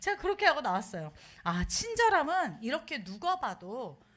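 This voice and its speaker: A woman with very wide pitch swings at a moderate pace. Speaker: pastor's wife preaching. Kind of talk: sermon.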